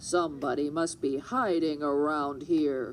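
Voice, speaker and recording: A put-on character voice at a low-to-middle pitch moves at a fairly slow pace. Background noise is clearly audible. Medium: read story.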